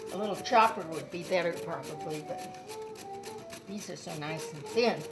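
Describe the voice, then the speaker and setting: A woman speaking at a fairly slow pace with big swings in loudness, music in the background. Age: 80s+. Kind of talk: cooking demonstration. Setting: home kitchen. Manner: casual, chatty.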